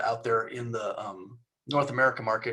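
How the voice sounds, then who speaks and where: The speaker is a man. His pitch is medium. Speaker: company executive presenting. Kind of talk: business presentation. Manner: fast.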